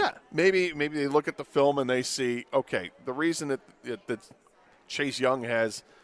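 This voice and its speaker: A man's unremarkable speaking voice at medium pitch and a moderate pace. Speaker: sports radio host. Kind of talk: sports radio talk show. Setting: live broadcast at a stadium.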